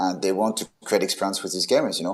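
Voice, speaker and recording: In a French accent, a man speaks in a fairly low voice with monotone, flat intonation. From France. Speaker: event technology and magic expert. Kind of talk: interview. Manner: halting, many fillers and restarts.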